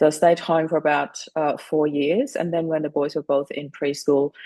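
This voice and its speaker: A woman with a German accent speaks fairly quickly at a very deep, low pitch, her tone dark and mellow. The sound is dry and close, with no echo. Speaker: widow and grief coach. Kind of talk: interview.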